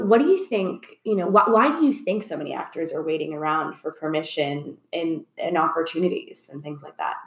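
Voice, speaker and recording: A woman's plain, everyday voice at a moderate pace, with lively intonation and big swings in loudness. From Orlando, Florida. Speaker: podcast host. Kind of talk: casual interview chat. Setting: video podcast.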